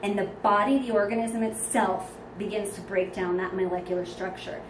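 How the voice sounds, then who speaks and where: There is noticeable background noise and audible room echo. A woman at medium pitch speaks at a moderate pace with fairly even intonation. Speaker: spiritual vlogger. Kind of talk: personal testimony monologue. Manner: many fillers and self-corrections.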